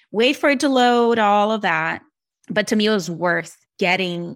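On a very clean recording with a silent background, a woman with a Brazilian accent speaks at a moderate pace and with ordinary pitch variation. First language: Portuguese. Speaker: speech-language pathologist and therapy app creator. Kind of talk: podcast interview.

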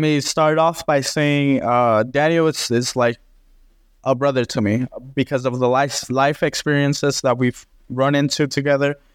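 A man with an ordinary speaking voice talks at a moderate pace and fairly high pitch with fairly even intonation. The recording is very clean with a silent background, and the sound is dry and close with no echo. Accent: American. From Texas, Dallas–Fort Worth area. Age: 20s. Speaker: renovation contractor. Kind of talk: interview.

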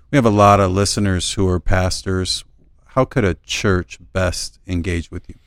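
An ordinary speaking voice from a man, fairly low in pitch, with fairly even intonation, a moderate pace and big swings in loudness. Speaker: board member and co-host.

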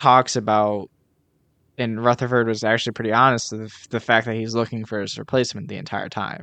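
This man has an ordinary speaking voice at a medium pitch, talking fairly quickly against a quiet background. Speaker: podcast host. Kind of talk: casual chat.

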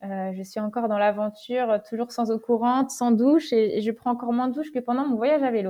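A woman's high-pitched voice at a fairly quick pace, with hardly any pauses. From western France, Deux-Sèvres (Niort). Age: 20s. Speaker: long-distance bike traveller. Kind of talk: interview testimony. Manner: hesitant, many fillers and repeated words.

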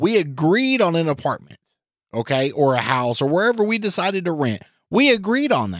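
The voice swings very widely in pitch at a fairly quick pace. The recording is very clean, with a silent background. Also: man, high pitch for a man. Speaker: podcast co-host. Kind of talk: casual chat, comedic banter. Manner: mumbles.

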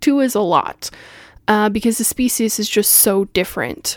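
This woman has a plain, everyday voice, fairly high in pitch with ordinary pitch variation. She speaks at a fairly slow pace on a very clean recording with a silent background. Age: 30s. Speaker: podcast host and spirituality teacher. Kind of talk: personal monologue. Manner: casual, frequent laughter.

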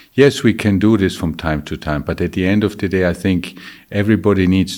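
A man speaks with a very deep, low pitch. His intonation is fairly even, and the recording is very clean with a silent background. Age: 50s. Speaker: company CEO. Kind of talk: Q&A interview. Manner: halting.

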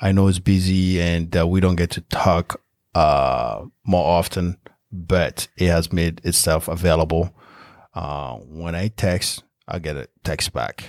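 A French accent at a fairly slow pace with ordinary pitch variation, dry and close with no echo on a very clean recording with a silent background. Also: man, very deep, low pitch for a man. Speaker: real estate investor. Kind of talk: podcast interview.

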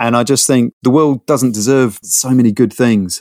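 With a London accent, a man speaks at a fairly quick pace and medium pitch, using ordinary pitch variation, in a dry, close sound with no echo. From London, North London. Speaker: product designer. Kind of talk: casual interview. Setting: internet call.

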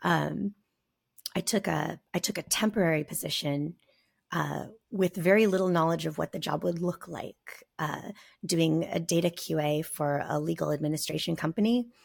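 Speaking at a moderate pace, a woman with a fairly low pitch uses ordinary pitch variation and shows vocal fry. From US Southwest, rural southern Arizona near Mexican border. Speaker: software engineer. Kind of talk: casual interview.

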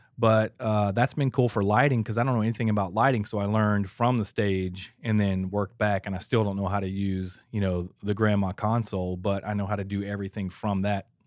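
A man with an American accent and an unremarkable speaking voice talks at a fairly quick pace and fairly low pitch with fairly even intonation, in a very clean recording with a silent background. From Atlanta, Georgia, US South. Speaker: church audio engineer, former drummer. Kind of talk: casual chat. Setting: studio.

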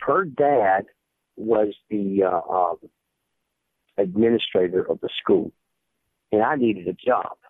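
At a very slow pace and with long, frequent pauses, a man talks in a fairly low pitch with ordinary pitch variation. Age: 60s. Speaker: high school football coach. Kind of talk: podcast interview.

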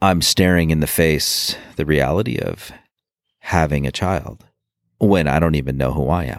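Over a very clean recording with a silent background, a man speaks at a very deep, low pitch with vocal fry. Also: ordinary pitch variation, moderate pace. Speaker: former Marine and police officer. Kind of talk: personal testimony interview. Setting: outdoors. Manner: halting with fillers.

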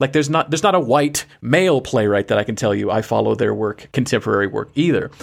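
At a very fast pace with hardly any pauses, a man talks at a medium pitch with lively intonation and vocal fry. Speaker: theater director and podcast host. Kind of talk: casual conversation. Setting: video call, recorded remotely.

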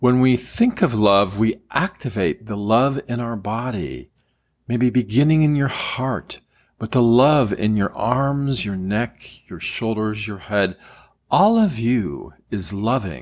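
On a very clean recording with a silent background, a man talks at a very slow pace with medium pitch and ordinary pitch variation. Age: 60s. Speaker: qigong teacher. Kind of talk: guided meditation. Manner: soft-spoken.

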